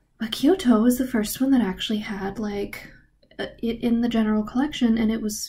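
A woman's somewhat breathy voice with a dark, mellow tone and ordinary pitch variation. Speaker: travel fellowship vlogger. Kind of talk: casual vlog chat. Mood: enthusiastic, animated. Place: home room. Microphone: webcam.

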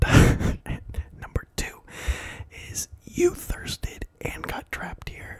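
A man is whispering. His voice stays at a whisper throughout. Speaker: ASMR creator. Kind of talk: casual talk to camera. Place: home room. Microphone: handheld.

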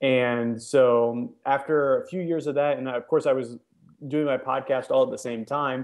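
A man speaks against a quiet background. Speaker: podcast guest. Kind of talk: interview answer. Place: home room. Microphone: video call.

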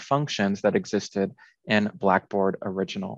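Against a quiet background, a man speaks fairly slowly with lively intonation in a dry sound with no echo. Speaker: instructional consultant. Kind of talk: tutorial. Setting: video call. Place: home room. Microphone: webcam.

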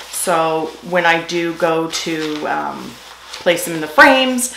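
A woman's voice, fairly low in pitch with ordinary pitch variation, amid light background noise and audible room echo. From Newfoundland, Canada. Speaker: beauty and lifestyle YouTuber; lifestyle YouTuber. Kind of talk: product haul video. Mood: cheerful, chatty. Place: home room.

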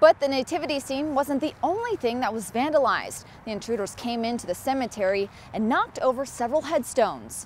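A woman with an American accent talks at a very fast pace in a high voice. Her intonation is lively, with light background noise behind her. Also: dry sound with no echo. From United States. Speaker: TV news anchor and reporter. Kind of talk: TV news anchor read.

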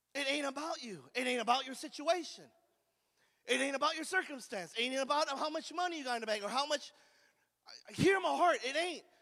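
A man's raised, projected voice with an American accent, extremely high in pitch with a bright, sharp tone and ordinary pitch variation, at a fairly quick pace over a quiet background. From California. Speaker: recovery ministry preacher. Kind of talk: call-and-response revival sermon to a live recovery group. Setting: room with live audience. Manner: fervent, repetitive, exclamatory preaching with hallelujahs; folksy, conversational, stammering restarts. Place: church. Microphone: handheld.

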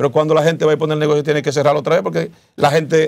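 Vocal fry runs through this man's fairly high voice. He talks at a very fast pace. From Dominican Republic. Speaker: senate pre-candidate, politician; candidate, politician. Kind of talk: interview. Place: studio. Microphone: lapel.

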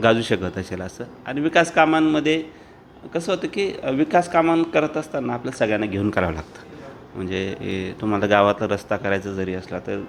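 The voice makes very wide pitch swings and big swings in loudness amid noticeable background noise. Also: man, medium pitch for a man. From Dhule district, Maharashtra (Khandesh). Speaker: district government official. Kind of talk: interview.

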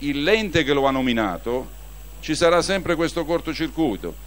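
A man speaking at a moderate pace. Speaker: speaker, politician. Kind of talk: public debate speech. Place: stage.

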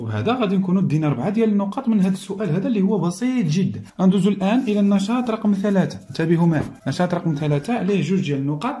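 Speaking very fast with few pauses, a man uses lively intonation, a high pitch and a dark, mellow tone.

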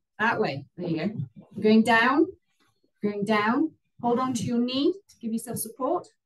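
Against a quiet background, a woman speaks fairly slowly in a calm, relaxed tone, with long, frequent pauses. Her voice is somewhat breathy and fairly high, with very wide pitch swings. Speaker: yoga instructor. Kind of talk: live guided yoga class, calm step-by-step cueing. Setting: video call, online class via headset. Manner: calm, instructive, relaxed and chatty between cues, with light laughs. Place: home room. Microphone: camera far.

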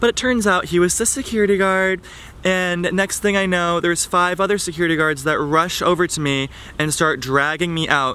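A man speaks with a high pitch and ordinary pitch variation. His pace is moderate and the sound is dry with no echo. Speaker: vlogger. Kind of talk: casual vlog chat, storytelling. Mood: amused, animated storytelling. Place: garden. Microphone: phone near.

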